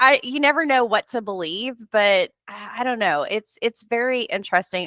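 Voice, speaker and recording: Loud and bright with a sharp tone, a woman speaks at a moderate pace with lively intonation in a dry, close sound with no echo. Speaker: career coach. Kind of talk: interview. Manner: talkative.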